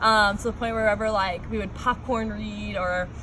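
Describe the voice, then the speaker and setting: A woman is speaking. Room echo is audible, and there is noticeable background noise. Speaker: college student talking about dyslexia. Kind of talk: personal talk to students. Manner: casual, many filler words.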